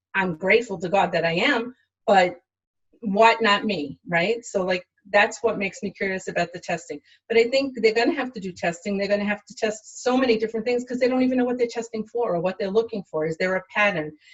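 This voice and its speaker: A somewhat breathy woman with a fairly high pitch talks at a fairly quick pace with ordinary pitch variation. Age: 60s. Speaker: healthcare worker. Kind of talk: interview. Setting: livestream.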